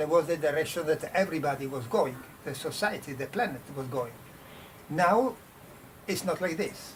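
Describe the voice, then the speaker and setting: A man with an Italian accent, fairly high-pitched, at a moderate pace, with noticeable background noise. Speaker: design professor. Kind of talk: panel discussion. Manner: halting.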